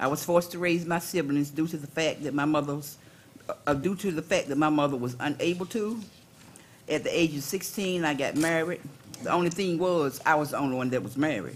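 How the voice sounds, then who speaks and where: Over noticeable background noise, a woman with a North Carolina accent speaks at a fairly quick pace in a very deep, low voice with ordinary pitch variation. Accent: Southern US (North Carolina). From US South, Durham, North Carolina. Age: 60s. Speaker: caregiver and organizer. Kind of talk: panel testimony. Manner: informal.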